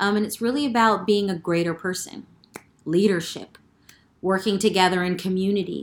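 A woman with an unremarkable speaking voice, medium pitch, fairly even intonation and a moderate pace, in an American accent. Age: 40s. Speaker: podcast host. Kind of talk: interview.

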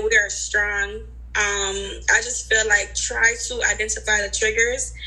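At a fairly slow pace, the speech comes with audible room echo and noticeable background noise. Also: woman. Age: 20s. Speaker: nurse. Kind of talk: casual group chat.

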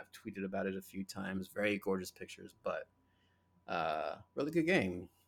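A man talks at a moderate pace in an unremarkable speaking voice with a fairly low pitch. The recording is very clean, with a silent background and a dry, close sound with no echo. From New Jersey (North Jersey). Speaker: podcast host. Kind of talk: casual chat.

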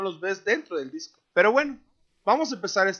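A man with a Mexican accent talks at a moderate pace. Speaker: podcast co-host. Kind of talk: casual chat.

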